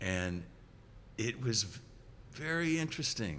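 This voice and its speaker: Bright, sharp tone with lively intonation, vocal fry and a moderate pace. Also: man. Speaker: rock bassist and singer. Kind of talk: interview. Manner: halting, many restarts.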